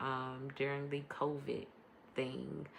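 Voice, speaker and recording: A woman's very deep, low-pitched voice with vocal fry. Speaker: podcast host and life coach. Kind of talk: casual monologue podcast. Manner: varies between quiet and loud; hesitant, many ums.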